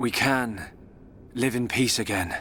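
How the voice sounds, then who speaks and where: A man in a put-on character voice at a medium pitch, with clear background noise. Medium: video game. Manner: gentle, calm.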